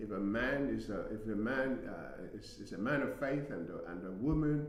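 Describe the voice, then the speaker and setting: A man at medium pitch and moderate pace, lively in intonation, with audible room echo and noticeable background noise. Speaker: relationship talk show co-host. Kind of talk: live casual discussion. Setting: studio. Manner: halting, stuttering.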